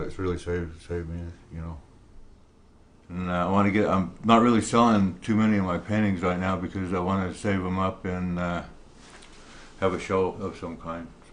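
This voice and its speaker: A man's very deep, low voice in a flat monotone, with long, frequent pauses and audible room echo. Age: 50s. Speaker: painter with schizophrenia. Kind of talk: interview testimony.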